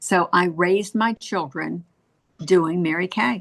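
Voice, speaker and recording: Vocal fry runs through this woman's medium-pitched voice. Her pitch varies in an ordinary way. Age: 70s. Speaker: cosmetics sales director. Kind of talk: motivational talk to sales team. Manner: animated.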